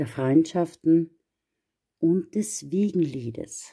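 A woman talks at a very slow pace and a fairly low pitch. Her tone is dark, mellow and warm. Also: quiet background. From Austria. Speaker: astrologer; card reader. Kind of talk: astrology forecast monologue. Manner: warm, personal. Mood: gentle, encouraging. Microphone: phone near.

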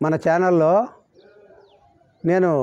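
Against a quiet background, a man with a high pitch speaks in fairly even intonation, the recording dry with no echo. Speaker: home cook and gardener. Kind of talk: channel introduction to camera. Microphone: lapel.

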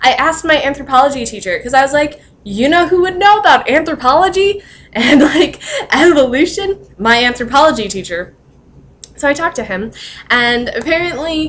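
A woman speaks at a fairly quick pace in a high voice. Her pitch swings very widely. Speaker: vlogger. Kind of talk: casual vlog chat. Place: home room. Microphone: webcam.

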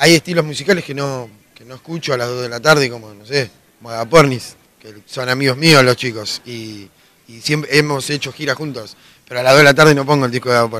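Gruff and raspy, the voice moves at a fairly quick pace with a fairly bright tone and ordinary pitch variation. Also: man, medium pitch for a man.

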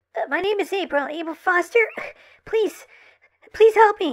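Putting on a squeaky character voice of extremely high pitch, a woman talks at a fairly slow pace. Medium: read story. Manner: calm, procedural, increasingly urgent.

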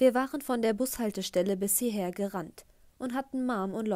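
A natural reading voice, its pitch rising and falling in an ordinary way

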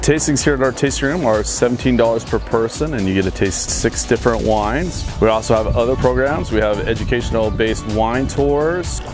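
A man talks at a fairly quick pace in a dry sound with no echo, with clear music in the background. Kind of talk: promotional interview. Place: street.

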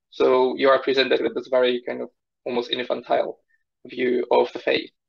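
A man with a Polish accent speaks at a fairly quick pace. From Poland. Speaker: research scientist; interview guest. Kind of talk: interview conversation. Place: home room. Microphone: video call.

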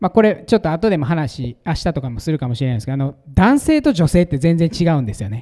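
Against a quiet background, a man with a Kansai accent talks at a very fast pace in a dark, mellow tone with very wide pitch swings. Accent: Kansai Japanese. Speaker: pastor giving conference talk. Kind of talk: sermon or teaching talk. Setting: stage with audience. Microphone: handheld.

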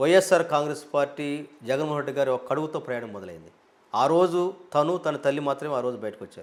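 With big swings in loudness, a man talks at a fairly high pitch with ordinary pitch variation. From Andhra Pradesh, Prakasam district. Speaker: politician. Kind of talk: interview. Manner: animated.

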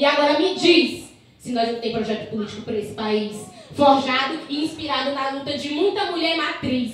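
Her voice is high-pitched, and this woman speaks at a moderate pace with lively intonation. Strong room echo and light background noise fill the recording. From Maranhão, Northeast Brazil. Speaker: slam poet. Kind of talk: slam poetry performance. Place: bar.

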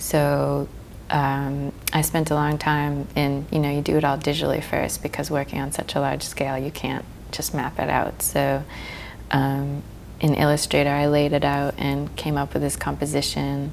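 A woman at a moderate pace, with light background noise. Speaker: fine artist and muralist. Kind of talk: interview. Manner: hesitant, many filler words. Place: studio. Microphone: lapel.

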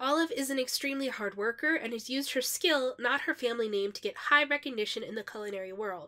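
Raised and projected, a woman's high, bright, sharp voice races at a very fast pace with lively intonation and hardly any pauses. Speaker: artist. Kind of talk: narration over speed paint video.

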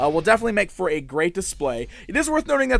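The speaker is a man. The sound is dry, with no echo. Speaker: toy reviewer. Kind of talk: product review commentary. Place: studio.

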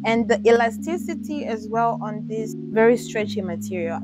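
A woman speaks at a fairly slow pace, her voice dry with no echo, as clear music plays in the background. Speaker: sourcing vlogger. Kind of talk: casual vlog chat. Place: shop. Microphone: lapel.

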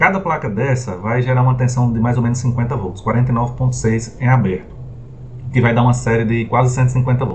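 A man talks at a fairly slow pace against light background noise. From Brazil. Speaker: solar energy YouTuber. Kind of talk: tutorial. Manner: animated. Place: home room.

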